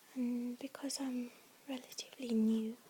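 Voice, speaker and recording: A soft-spoken woman talks at a very slow pace in a high pitch, her intonation monotone and flat, her tone dark and mellow. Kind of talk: ASMR talk to camera. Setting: home recording with handbag sounds. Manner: soft-spoken, slightly nervous at first.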